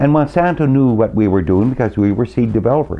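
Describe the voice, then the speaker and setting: A man with a Canadian prairie accent speaks with lively intonation. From Canadian prairies, Saskatchewan. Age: 70s. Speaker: farmer. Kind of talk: interview.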